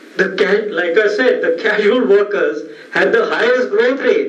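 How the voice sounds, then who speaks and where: A man at an extremely high pitch with very wide pitch swings and a fairly slow pace, amid noticeable background noise and audible room echo. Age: 70s. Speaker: economist. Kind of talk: lecture. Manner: halting.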